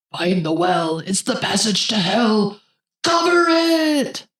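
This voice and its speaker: A female-sounding voice puts on a character, medium in pitch. It moves at a fairly slow pace with very wide pitch swings. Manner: demon voice.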